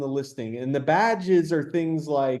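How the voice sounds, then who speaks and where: Using ordinary pitch variation, a man with a fairly high pitch speaks at a fairly slow pace. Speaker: software company webinar host. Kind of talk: webinar Q&A. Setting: online webinar. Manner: hesitant, many fillers.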